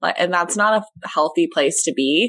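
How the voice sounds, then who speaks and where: A woman with an ordinary speaking voice, fairly low pitch and fairly slow pace against a quiet background. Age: 20s. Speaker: podcast host. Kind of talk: casual interview.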